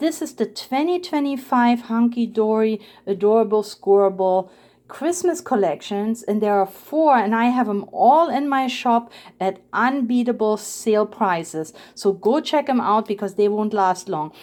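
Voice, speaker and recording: A woman's fairly high-pitched voice with a non-native accent, lively intonation and a fairly slow pace. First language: not English. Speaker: papercraft video creator. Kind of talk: crafting tutorial and product showcase. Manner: casual, with hesitations.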